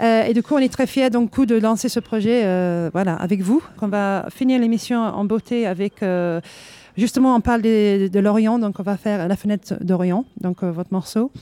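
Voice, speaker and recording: This woman talks at a moderate pace with a non-native accent. Her tone is dark and mellow, and her pitch sits in the middle range. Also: ordinary pitch variation, dry, close sound with no echo. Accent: foreign accent in French. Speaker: radio host. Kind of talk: live radio interview. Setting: live at a jazz club.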